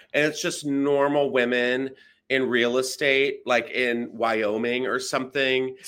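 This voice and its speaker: In a very clean recording with a silent background, a man with a normal speaking voice keeps a very even loudness, a medium pitch, fairly even intonation, and a fairly slow pace. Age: 40s. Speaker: comedian. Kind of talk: casual chat.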